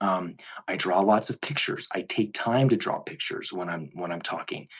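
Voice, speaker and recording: Fairly low pitch from a man, with ordinary pitch variation. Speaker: teacher. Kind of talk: casual live Q&A monologue. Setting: live video stream. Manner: fast and animated when excited.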